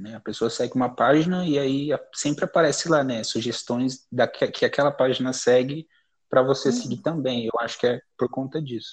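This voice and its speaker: Over a quiet background, a man with an ordinary speaking voice talks at a fairly quick pace, medium in pitch, with fairly even intonation. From Brazil, São Paulo area (Carapicuíba). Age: 20s. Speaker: poet. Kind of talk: casual interview. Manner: casual, slangy.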